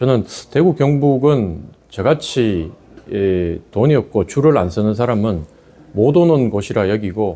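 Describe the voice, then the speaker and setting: A man talks at a very slow pace, his pitch swinging very widely. His tone is dark and mellow. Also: fairly low pitch for a man. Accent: Gyeongsang. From Korea, Daegu. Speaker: election candidate. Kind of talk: campaign interview.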